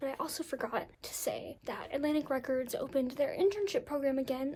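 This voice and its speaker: There is noticeable background noise. The speaking pace is moderate. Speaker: college student vlogger. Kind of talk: casual vlog talking to camera.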